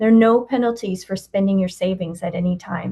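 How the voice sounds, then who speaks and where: A woman talks at a fairly quick pace and medium pitch, somewhat breathy. Her intonation stays fairly even. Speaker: benefits program presenter. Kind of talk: webinar presentation. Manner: fast.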